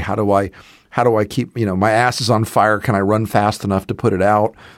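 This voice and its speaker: A man with an American accent and a plain, everyday voice, fairly low in pitch and fairly quick in pace, on a very clean recording with a silent background. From US South. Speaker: political commentator. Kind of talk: casual political discussion.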